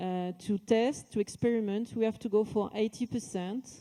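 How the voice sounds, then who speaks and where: With a French accent, a woman speaks at a fairly slow pace in a fairly high pitch, her tone dark and mellow and her pitch variation ordinary. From France. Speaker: company executive. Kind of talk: corporate event speech.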